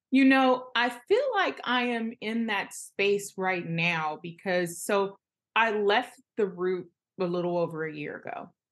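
A woman with an American accent has a normal speaking voice and a medium pitch. She talks at a fairly slow pace with ordinary pitch variation. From Los Angeles. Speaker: journalist. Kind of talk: interview.

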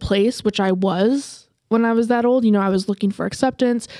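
A woman with an American accent has a dark, mellow tone at a medium pitch. She speaks fairly quickly with fairly even intonation. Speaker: podcast host. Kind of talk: casual chat. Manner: profane, joking.

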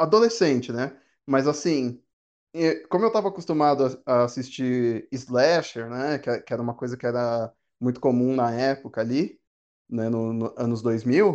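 An ordinary speaking voice from a man at medium pitch, ordinary pitch variation and a fairly slow pace against a quiet background. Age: 30s. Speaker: podcast co-host. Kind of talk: casual chat.

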